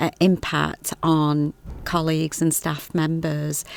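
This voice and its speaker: A woman with a Stoke accent speaks at a fairly low pitch. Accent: Stoke-on-Trent. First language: Punjabi. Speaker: health visitor. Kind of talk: casual conversation, podcast.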